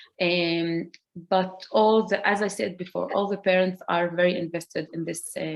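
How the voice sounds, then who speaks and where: A woman speaks with an Arabic accent. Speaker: community program director and school parent. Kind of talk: panel presentation. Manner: halting.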